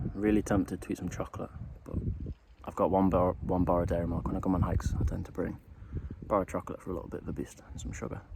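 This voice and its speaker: Very deep and low, a man's voice with a dark, mellow tone and vocal fry races along at a very fast pace. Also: ordinary pitch variation. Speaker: hiking vlogger. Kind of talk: outdoor vlog narration. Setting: outdoors on a mountain hike.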